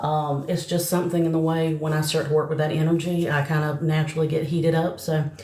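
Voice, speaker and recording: A woman with a Southern US accent talks very fast in a very deep, low voice. Audible room echo and noticeable background noise surround her. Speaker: psychic medium. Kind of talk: live stream chat and mediumship readings. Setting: live stream. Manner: casual, chatty.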